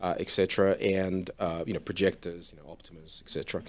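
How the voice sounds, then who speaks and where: A man with an Australian accent, fairly low-pitched and fairly quick, on a very clean recording with a silent background. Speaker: golf simulator company founder. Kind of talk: interview.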